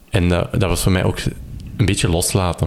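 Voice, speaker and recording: Over noticeable background noise, a man talks at a fairly quick pace with a very deep, low pitch. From Belgium, Kempen (Campine). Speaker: maker and electronics hobbyist. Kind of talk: casual interview. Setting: at home in living room.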